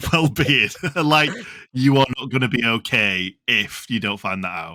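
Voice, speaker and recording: Speaking at a fairly slow pace, a man with a medium pitch has lively intonation and a bright, sharp tone. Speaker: football podcast host. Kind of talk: casual chat.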